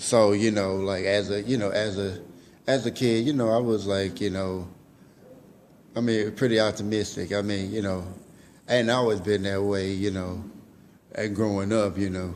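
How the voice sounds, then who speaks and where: With audible room echo, a man talks at a moderate pace and a fairly low pitch. His intonation is fairly even, and he takes long, frequent pauses. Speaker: vlogger. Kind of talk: motivational vlog monologue. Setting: public library room. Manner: halting, many fillers and repetitions.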